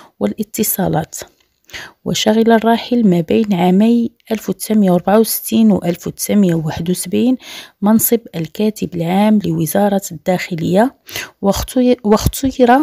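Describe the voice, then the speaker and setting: In a dark, mellow tone, a woman speaks very slowly at a medium pitch, with ordinary pitch variation and very even loudness, in a dry, close sound with no echo. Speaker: news presenter. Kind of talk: news reading.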